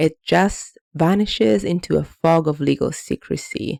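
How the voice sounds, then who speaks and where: A woman speaks in a very deep, low pitch with a dark, mellow tone, vocal fry, and ordinary pitch variation. The recording is very clean with a silent background, and the sound is dry and close with no echo. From Italy. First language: Italian. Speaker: anti-money laundering consultant. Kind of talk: explainer video. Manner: some hesitations and repeated words.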